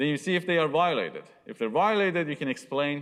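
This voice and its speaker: A man with a non-native accent at a moderate pace, on a very clean recording with a silent background. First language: not English. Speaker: university lecturer. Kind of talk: lecture.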